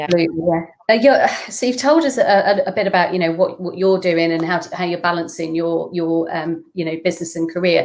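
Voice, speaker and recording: A woman speaks very fast in a northern English accent at a fairly low pitch with ordinary pitch variation. Noticeable background noise is present. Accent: northern English twang. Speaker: brand consultant. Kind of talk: interview questions.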